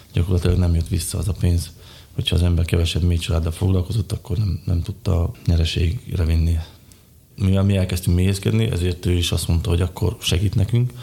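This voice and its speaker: A man speaks at a very fast pace with a very deep, low pitch and a dark, mellow tone. His voice is somewhat breathy, with ordinary pitch variation and very even loudness. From Slovakia, Bodrogköz (Hungarian minority). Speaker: design engineer and beekeeper. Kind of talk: interview.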